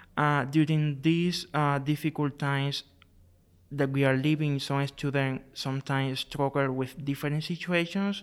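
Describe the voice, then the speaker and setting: A fairly high-pitched man speaks at a moderate pace in a monotone, flat intonation. The recording is very clean, with a silent background. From Cuba. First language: Spanish. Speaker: graduate student. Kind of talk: interview. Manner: halting.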